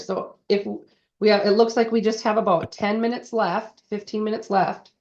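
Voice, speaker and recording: This woman has a normal speaking voice, pitched fairly high, and talks at a fairly quick pace. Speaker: cake decorating instructor. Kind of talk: tutorial.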